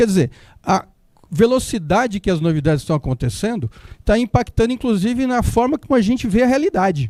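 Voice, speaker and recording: Dark and mellow in tone, a man's voice makes very wide pitch swings in a dry, close sound with no echo. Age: 60s. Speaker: company CEO. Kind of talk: conference talk. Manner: casual, with hesitations.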